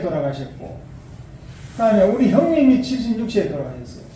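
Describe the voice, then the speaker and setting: Over noticeable background noise, a man talks in a high pitch. Room echo is audible. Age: 70s. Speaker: lay religious preacher. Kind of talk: sermon.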